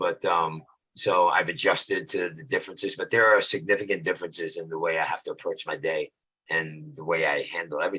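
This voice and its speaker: Very fast speech with an American accent and big swings in loudness. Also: man. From New York, Brooklyn. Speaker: film actor. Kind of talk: interview.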